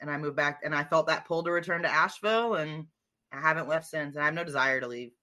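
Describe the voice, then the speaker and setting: A woman speaks at a very fast pace with an American accent, her very deep, low pitch carrying a bright, sharp tone and ordinary pitch variation. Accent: Northern US with slight Southern twang. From New Jersey. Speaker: comedian. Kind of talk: casual chat.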